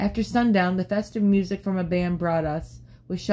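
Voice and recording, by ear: Reading aloud in a natural voice, the speaker keeps a fairly even intonation.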